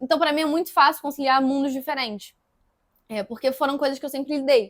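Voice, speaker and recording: A woman's high voice at a very fast pace with fairly even intonation. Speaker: actress and physics student. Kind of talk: interview.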